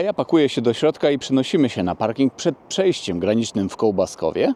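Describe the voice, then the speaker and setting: A man speaks at a very fast pace with very wide swings in pitch. His tone is dark and mellow, and the sound is dry and close with no echo. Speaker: car reviewer. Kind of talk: car review vlog. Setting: in a car. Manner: casual, chatty.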